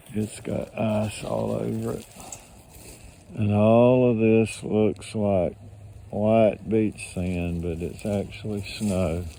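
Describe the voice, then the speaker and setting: A man's fairly low voice with an American accent, very slow pace and fairly even intonation over noticeable background noise. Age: 70s. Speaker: video blogger. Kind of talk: casual vlog narration. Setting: outdoors.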